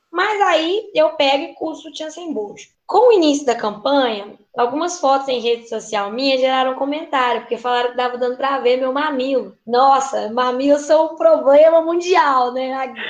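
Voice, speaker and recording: At a moderate pace and with hardly any pauses, a woman speaks in a high pitch with ordinary pitch variation. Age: 20s. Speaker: teacher and city council candidate. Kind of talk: casual chat.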